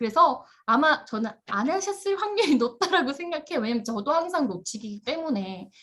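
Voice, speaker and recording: A woman speaks with a high pitch. Her voice swings very widely up and down. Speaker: instructor. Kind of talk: online class lecture. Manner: fast.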